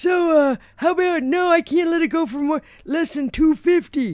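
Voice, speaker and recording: A put-on character voice, high in pitch, delivers its lines at a fairly slow pace. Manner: haggling.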